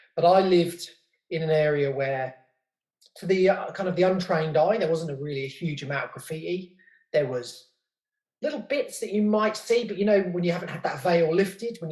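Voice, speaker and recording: A man with a southern English accent, a high pitch, ordinary pitch variation and a fairly quick pace. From southern England, outskirts of London. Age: 30s. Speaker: podcast host and graffiti writer. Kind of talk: casual interview chat.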